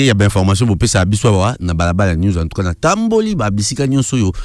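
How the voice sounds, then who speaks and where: The tone is animated. The pace is very fast. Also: man. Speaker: radio host. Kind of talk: live call-in radio show.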